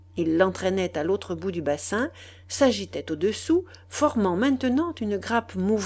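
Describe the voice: Lively intonation in plain reading aloud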